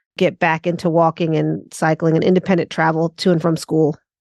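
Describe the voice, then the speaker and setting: A woman with an American accent, fairly quick in pace and monotone, flat in intonation, over a quiet background. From US West Coast, Los Angeles. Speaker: urban strategist. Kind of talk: podcast interview. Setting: video call.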